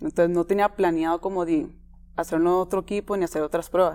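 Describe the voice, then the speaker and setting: Speaking at a fairly quick pace, a woman with a Costa Rican accent has a dark, mellow tone. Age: 20s. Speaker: footballer. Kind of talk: interview.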